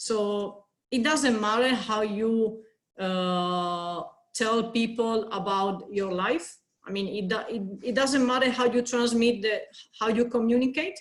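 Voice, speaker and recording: In a Spanish accent, a woman speaks with a fairly high voice. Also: ordinary pitch variation, fairly slow pace. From Spain. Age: 30s. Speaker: consultant and yoga teacher. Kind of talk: interview. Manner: halting.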